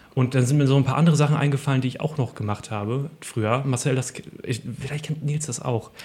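A man's fairly high, somewhat breathy voice carries a dark, mellow tone, moving at a fairly quick pace with ordinary pitch variation. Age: 30s. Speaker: podcast host. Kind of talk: casual chat.

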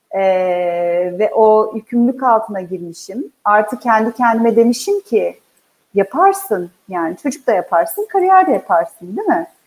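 The speaker has an unremarkable speaking voice and a fairly slow pace. The intonation is lively. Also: woman, fairly high pitch for a woman. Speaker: HR executive. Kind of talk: interview.

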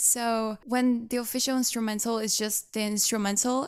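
With a Portuguese accent, a woman speaks in a fairly high pitch. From Brazil, big city. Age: 20s. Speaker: singer. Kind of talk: interview.

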